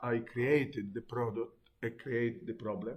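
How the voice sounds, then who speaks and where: A man speaks in an Italian accent at a fairly slow pace. His voice sits at a medium pitch. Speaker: teacher. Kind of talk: lecture. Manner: halting.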